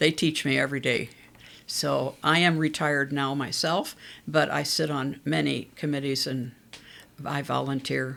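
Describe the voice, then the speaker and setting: At a moderate pace, a woman speaks in a very deep, low voice with vocal fry and monotone, flat intonation. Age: 80s+. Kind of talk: casual interview chat. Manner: talkative.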